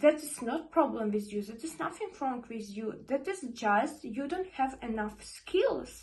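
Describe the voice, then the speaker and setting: Her high-pitched voice has lively intonation and big swings in loudness, with a non-native accent. The woman talks at a fairly slow pace. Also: hardly any pauses. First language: not English. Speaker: vlogger. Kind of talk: motivational talk to camera. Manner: halting, repeats words.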